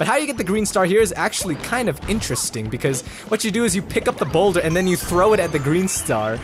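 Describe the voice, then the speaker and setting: A man's high voice at a very fast pace, very wide pitch swings, very even loudness, and noticeable background noise. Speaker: let's play gamer. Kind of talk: gameplay commentary. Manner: animated.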